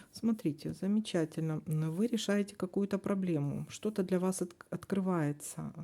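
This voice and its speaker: A dark, mellow tone with ordinary pitch variation. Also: woman, medium pitch for a woman. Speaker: tarot reader. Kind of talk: tarot forecast reading. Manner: hesitant, with fillers.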